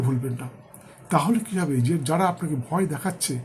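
This man's fairly high-pitched voice carries lively intonation. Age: 60s. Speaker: astrologer. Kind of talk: horoscope monologue to camera. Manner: halting, in short phrases.

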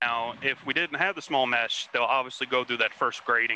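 In a Texan accent, the speaker talks at a fairly quick pace with a bright, sharp tone and fairly even intonation, in a dry sound with no echo over light background noise. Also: man. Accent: Texan American. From Texas (Houston); Texas. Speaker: ROV pilot. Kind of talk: casual chat. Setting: video call. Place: boat. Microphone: headset.

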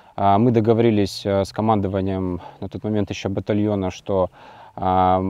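Speaking at a fairly quick pace, a man uses a fairly low, dark and mellow voice, recorded dry with no echo against a quiet background. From Ukraine, Mariupol; Ukraine. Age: 20s. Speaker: soldier; interviewee. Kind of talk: interview; interview answer. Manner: halting. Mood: subdued, reflective. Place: open country. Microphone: lapel.

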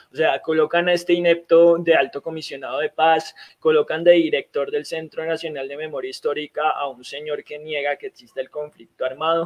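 The speech moves at a moderate pace with fairly even intonation, recorded dry and close with no echo. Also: man. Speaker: online talk show host. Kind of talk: interview. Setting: video call. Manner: halting.

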